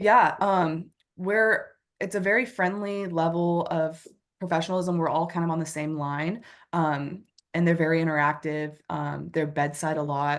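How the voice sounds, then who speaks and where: Against a quiet background, a woman with an American accent speaks at a moderate pace in an ordinary speaking voice with fairly even intonation. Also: fairly low pitch for a woman. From United States. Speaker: nurse. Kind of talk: interview.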